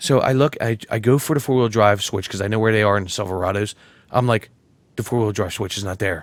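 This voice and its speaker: This man talks at a very fast pace with a New Jersey accent. His tone is animated, and his pitch varies in an ordinary way. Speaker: podcast co-host. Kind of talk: casual chat.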